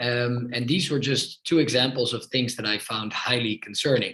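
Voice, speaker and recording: A man with a Dutch accent speaks at a medium pitch in a bright, sharp tone. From Netherlands, Amsterdam. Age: 30s. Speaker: politician. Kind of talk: podcast interview.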